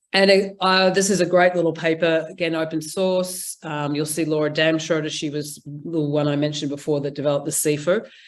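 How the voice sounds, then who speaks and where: Speaking fairly quickly in a New Zealand accent, a woman with a very deep, low voice keeps her intonation fairly even on a very clean recording with a silent background. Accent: Kiwi. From New Zealand, Auckland. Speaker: implementation science researcher. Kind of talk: conference presentation; casual chat.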